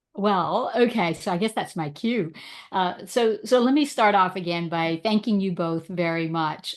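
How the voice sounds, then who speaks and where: A woman's fairly low voice with a slight Bahamian accent over a quiet background. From Bahamas. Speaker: strengths coach and leadership speaker. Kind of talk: podcast interview. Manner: loud, friendly.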